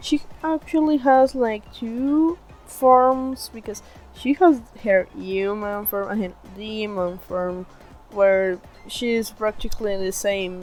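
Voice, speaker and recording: Music plays behind a woman with a non-native accent and a fairly high pitch. She talks at a very slow pace with lively intonation. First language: not English. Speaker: digital artist. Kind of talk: casual voice-over explaining own artwork.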